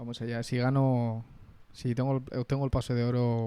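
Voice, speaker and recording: The man's voice has a dark, mellow tone. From Spain, Madrid. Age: 20s. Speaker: interviewee. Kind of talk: interview. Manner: halting, frequent repetitions.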